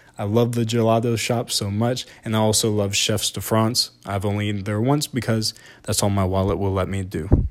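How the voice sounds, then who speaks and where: A man's fairly low, animated voice with a Southern US accent, at a moderate pace. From US South. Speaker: podcast host. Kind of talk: solo podcast review.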